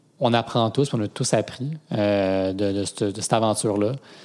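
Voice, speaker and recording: A man with a medium pitch talks at a very slow pace, his pitch varying normally. The recording is very clean, with a silent background. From Quebec (Granby). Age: 20s. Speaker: cofounder of a ride-sharing cooperative. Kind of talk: interview.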